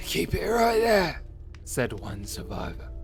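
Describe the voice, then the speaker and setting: A man puts on a character voice at a fairly slow pace. Clear music plays in the background. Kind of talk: dark storyteller narration. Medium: video game. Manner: ominous, measured.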